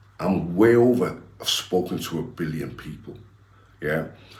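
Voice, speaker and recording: A man speaks in a very deep, low voice with vocal fry and very wide pitch swings. Room echo is audible. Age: 60s. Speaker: former gangster turned preacher. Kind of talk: interview. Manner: animated.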